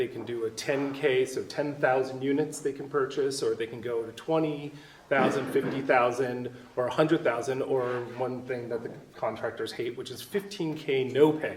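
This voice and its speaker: With noticeable background noise behind him, a man speaks at a moderate pace and a fairly high pitch, keeping his intonation fairly even. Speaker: audience member asking a question. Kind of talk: question from audience. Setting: studio presentation with audience. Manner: loud.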